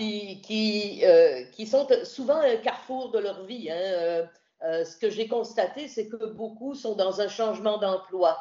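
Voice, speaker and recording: With a Quebec accent, a woman talks at a very slow pace and fairly high pitch, her loudness swinging widely while her pitch varies ordinarily. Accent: Québécois French. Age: 60s. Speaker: radio host and journalist, retired. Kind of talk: interview about hiking pilgrimage.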